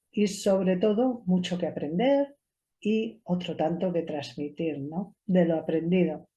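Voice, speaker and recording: Speaking in a Spanish accent, a woman uses a medium pitch with ordinary variation and a dark, mellow, somewhat breathy tone. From Spain, Cuenca countryside. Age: 50s. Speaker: esoteric therapist and show host. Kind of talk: personal monologue to camera.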